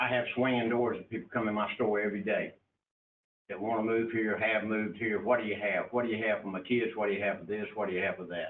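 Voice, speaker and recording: Speaking at a very fast pace with a fairly low pitch, a man with a North Carolina accent keeps his intonation monotone and flat. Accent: southern US (North Carolina). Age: 70s. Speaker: county commissioner. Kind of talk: public meeting debate. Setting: county commission meeting.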